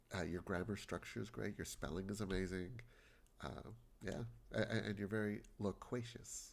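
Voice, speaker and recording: A man with a fairly low voice talks at a moderate pace with ordinary pitch variation. His voice has vocal fry. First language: Spanish. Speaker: video game streamer. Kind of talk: casual chat with live stream viewers. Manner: halting, repeats words.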